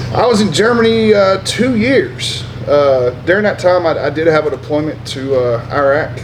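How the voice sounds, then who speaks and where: Lively intonation in an American accent, with hardly any pauses, audible room echo and noticeable background noise. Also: man. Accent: Southern drawl, lighter than before. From US South, upstate South Carolina. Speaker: army veteran. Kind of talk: interview. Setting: brewery. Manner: loud, energetic.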